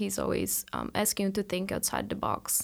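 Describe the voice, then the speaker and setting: A woman is speaking. She has a Portuguese accent. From Brazil. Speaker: PhD student. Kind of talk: interview.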